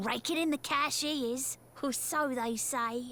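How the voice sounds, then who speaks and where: A woman puts on a character voice in a Cockney accent, speaking at a fairly slow pace over clear background noise. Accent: London Cockney. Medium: video game. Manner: chatty, knowing.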